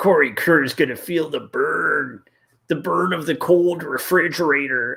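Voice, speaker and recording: A raspy, put-on character voice carries a menacing tone. The pace is moderate. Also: man, high pitch for a man. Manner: menacing, gruff.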